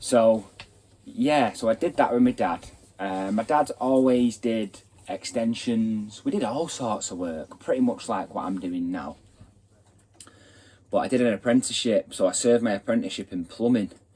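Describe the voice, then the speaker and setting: A man's dark, mellow tone in a Mancunian accent at a moderate pace. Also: medium pitch for a man, ordinary pitch variation. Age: 20s. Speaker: builder and channel host. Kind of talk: casual vlog introduction.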